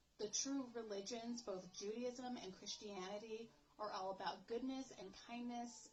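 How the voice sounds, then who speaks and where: At a fairly high pitch, a woman speaks fairly slowly in a somewhat breathy voice with fairly even intonation. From United States. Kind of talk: casual talk to camera. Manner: unrehearsed, emotional.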